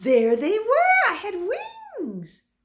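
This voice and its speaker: A female-sounding, squeaky put-on character voice sits at an extremely high pitch and makes very wide pitch swings. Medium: read story.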